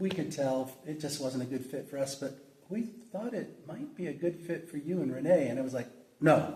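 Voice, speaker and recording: Over noticeable background noise and audible room echo, the speech moves at a fairly quick pace with ordinary pitch variation. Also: man. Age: 60s. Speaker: pastor. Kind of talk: interview. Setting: church.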